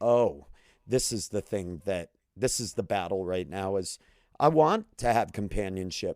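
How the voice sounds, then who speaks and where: A man talks at a moderate pace with lively intonation, in an unremarkable speaking voice. The recording is very clean with a silent background, and the sound is dry and close with no echo. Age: 40s. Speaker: comedian. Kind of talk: casual chat.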